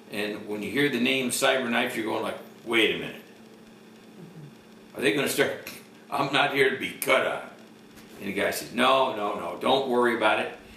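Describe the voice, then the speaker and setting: Amid noticeable background noise and audible room echo, a man speaks at a moderate pace with fairly even intonation and long, frequent pauses. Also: medium pitch for a man. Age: 70s. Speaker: cancer patient. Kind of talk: testimony. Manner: halting.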